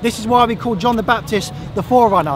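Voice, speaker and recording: Against noticeable background noise, a man with an extremely high voice speaks with ordinary pitch variation in a dry sound with no echo. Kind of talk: formal debate. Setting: outdoors. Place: open country.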